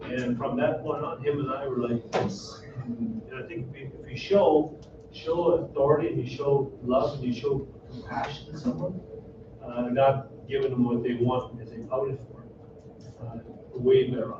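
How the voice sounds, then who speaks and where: A man talks at a moderate pace, with audible room echo and noticeable background noise around him. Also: medium pitch for a man, ordinary pitch variation, big swings in loudness. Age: 60s. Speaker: former hockey player and coach. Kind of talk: panel talk to audience.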